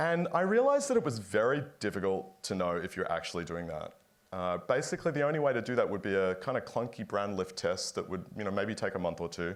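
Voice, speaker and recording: A man with an American accent at a very fast pace with hardly any pauses, on a very clean recording with a silent background. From Australia. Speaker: company founder and CEO, former physicist. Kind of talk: panel fireside chat.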